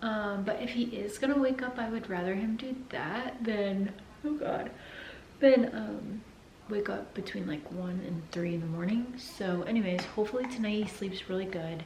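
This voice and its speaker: A woman speaks at a moderate pace with a medium pitch and ordinary pitch variation, with audible room echo and noticeable background noise. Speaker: vlogger. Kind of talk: casual chat.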